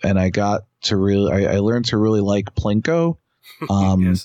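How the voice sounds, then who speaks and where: A man with an unremarkable speaking voice talks at a fairly low pitch with fairly even intonation. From New York City (Queens). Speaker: independent wrestler. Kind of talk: casual chat. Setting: phone call.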